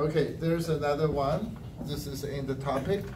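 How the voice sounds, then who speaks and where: There is audible room echo as a man speaks. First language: Mandarin Chinese. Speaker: language evaluator at a speaking club. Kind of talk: speech evaluation.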